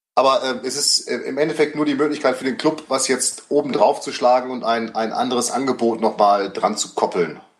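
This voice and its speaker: In a plain, everyday voice, a man at medium pitch talks at a fairly quick pace with ordinary pitch variation and hardly any pauses. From Münster, Germany. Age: 30s. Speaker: golf coach. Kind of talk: casual chat.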